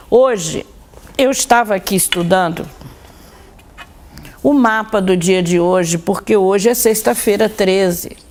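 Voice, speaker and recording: At a fairly slow pace, a medium-pitched woman speaks with long, frequent pauses, very even loudness and ordinary pitch variation over noticeable background noise. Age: 60s. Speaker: occultist and religion scholar presenting her own show. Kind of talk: monologue talk to viewers.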